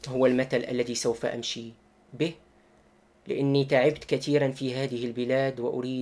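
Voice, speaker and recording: A man speaks in a flat monotone at a moderate pace. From Morocco, Marrakesh. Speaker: YouTuber and German news commentator. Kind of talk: personal statement to viewers. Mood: earnest, defensive explanation. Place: home room. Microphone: webcam.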